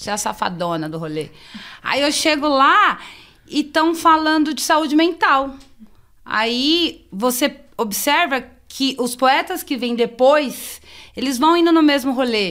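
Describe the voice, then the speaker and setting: A woman speaks fairly slowly in a high voice. Her intonation is lively. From São Paulo, Zona Sul. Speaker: poet and real estate agent. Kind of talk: casual chat.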